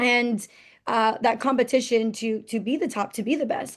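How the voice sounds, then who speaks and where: This woman's voice sits fairly high in pitch, with ordinary pitch variation. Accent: American. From New Jersey, US. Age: 20s. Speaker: entrepreneur. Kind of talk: interview.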